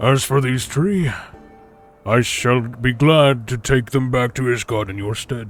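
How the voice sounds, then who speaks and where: A man puts on a character voice at a medium pitch. He speaks fairly slowly over faint background music. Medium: game stream. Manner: stately, archaic phrasing.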